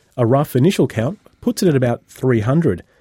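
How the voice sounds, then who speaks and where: This man has an Australian accent and a dark, mellow tone with ordinary pitch variation. The recording is very clean with a silent background, and the sound is dry and close with no echo. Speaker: radio host. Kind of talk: casual chat.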